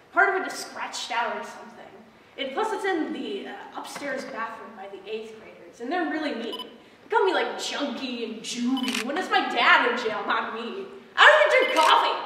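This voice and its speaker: A woman speaks in a raised, projected voice at a moderate pace, her loudness swinging widely, with audible room echo and light background noise. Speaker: actor performing an audition monologue. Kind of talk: dramatic monologue performance. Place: stage. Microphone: camera far.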